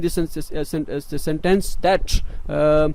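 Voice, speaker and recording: A high-pitched male voice in a flat monotone, with noticeable background noise. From Pakistan. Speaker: scholarship advice youtuber. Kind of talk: tutorial. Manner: halting; unscripted.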